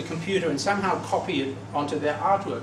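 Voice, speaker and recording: A man speaks at a very fast pace. Audible room echo and noticeable background noise surround him. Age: 70s. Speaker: conference speaker on medals. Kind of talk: presentation with slides. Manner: halting, repeats words.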